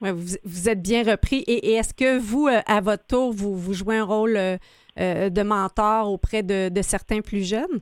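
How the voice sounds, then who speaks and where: Recorded very cleanly with a silent background and a dry, close sound with no echo, a woman speaks at a medium pitch. She talks at a very slow pace with ordinary pitch variation. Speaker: radio show host. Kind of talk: interview.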